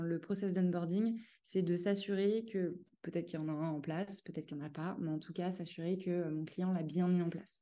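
In a fairly low, dark and mellow voice, a woman speaks in a flat monotone. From western France, Cholet. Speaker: independent headhunter. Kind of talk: casual interview. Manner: hesitant, many fillers.

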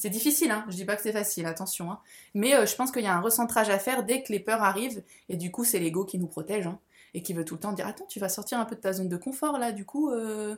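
Pitch rises and falls in an ordinary way. The delivery is very fast. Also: woman, fairly high pitch for a woman. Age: 30s. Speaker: spiritual guide. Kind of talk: casual chat. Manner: halting.

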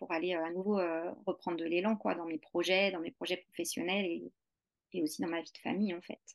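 A woman's medium-pitched voice with ordinary pitch variation, at a moderate pace, in a dry, close sound with no echo. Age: 40s. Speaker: English teacher and movement practice teacher. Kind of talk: interview. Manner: halting.

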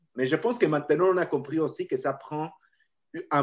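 This man speaks at a fairly high pitch. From Mexico. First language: Spanish (speaking French). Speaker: professor. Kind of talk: interview.

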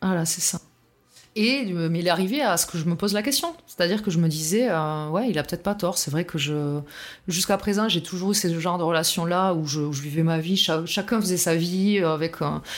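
This is a plain, everyday voice from a woman at a fairly low pitch. She speaks at a fairly quick pace with ordinary pitch variation. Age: 40s. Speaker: testimony guest on abusive relationship. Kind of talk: testimony.

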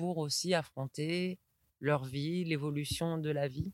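A woman speaks at a very slow pace, her pitch rising and falling in an ordinary way. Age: 30s. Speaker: school director and early childhood educator. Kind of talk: interview. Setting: outdoors at the edge of a forest.

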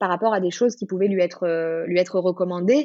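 Speaking at a fairly quick pace, a woman with a plain, everyday voice and a medium pitch shows ordinary pitch variation. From southern France, Marseille. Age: 30s. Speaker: self-knowledge coach. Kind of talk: casual interview.

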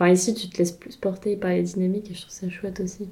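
Very fast delivery with fairly even intonation. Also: woman. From countryside near Nantes, western France. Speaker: rural queer collective member. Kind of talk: casual conversation.

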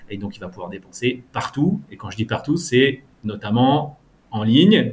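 The speaker is a somewhat breathy man. His intonation is lively. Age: 30s. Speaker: fintech startup founder and CEO. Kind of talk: interview. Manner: halting.

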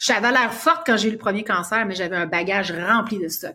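An unremarkable speaking voice comes through with ordinary pitch variation. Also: woman. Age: 50s. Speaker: author and cancer survivor. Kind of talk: interview.

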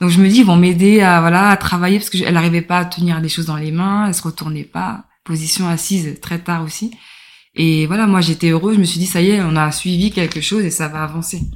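Spoken in a normal speaking voice at a fairly quick pace with fairly even intonation, this is a very clean recording with a silent background. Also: woman, fairly low pitch for a woman. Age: 30s. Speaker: mother of a child with a rare disease. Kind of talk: interview testimony.

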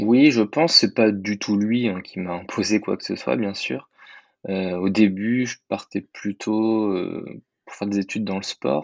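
In a normal speaking voice, a man with a fairly low pitch speaks at a fairly slow pace, showing ordinary pitch variation and big swings in loudness. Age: 20s. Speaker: private detective. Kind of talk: interview.

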